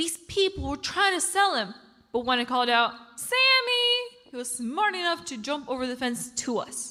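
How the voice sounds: In a cartoonish character voice, the speaker uses big pitch swings and a bright, sharp tone. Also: woman, high pitch for a woman, moderate pace.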